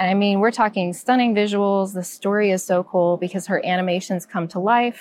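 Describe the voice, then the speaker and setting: A woman with a plain, everyday voice talks at a medium pitch and a fairly quick pace. Her intonation is fairly even, and she hardly pauses. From US South. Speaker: podcast panelist, Disney vacation advisor. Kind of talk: casual chat.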